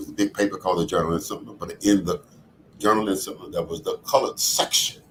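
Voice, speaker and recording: At a very fast pace, a man with an American accent talks with big swings in loudness. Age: 80s+. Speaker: community leader and author. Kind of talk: podcast interview, personal reflection.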